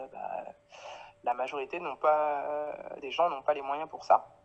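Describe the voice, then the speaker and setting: With a very deep, low pitch, this woman talks at a moderate pace. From Paris, France (Guadeloupean family). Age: 30s. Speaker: clothing brand founder. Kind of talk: interview. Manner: hesitant, many fillers.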